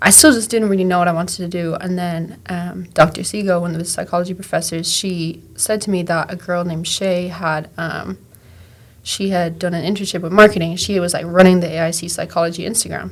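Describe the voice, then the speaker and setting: A monotone, flat delivery in an Irish accent at a fairly quick pace. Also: woman, fairly low pitch for a woman. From Ireland. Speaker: graduate assistant and content creator. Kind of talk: casual interview. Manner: casual, filler-heavy.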